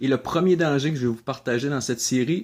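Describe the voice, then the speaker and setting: A man talks with a fairly high pitch and ordinary pitch variation. The recording is very clean, with a silent background. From Quebec. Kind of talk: video blog talk.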